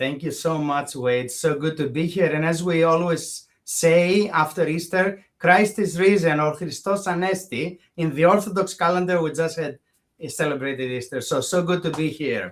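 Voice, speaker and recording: A man with a Greek accent speaks at a high pitch. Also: ordinary pitch variation, moderate pace, hardly any pauses. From Greece, Thessaloniki. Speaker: bioethicist. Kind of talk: interview conversation.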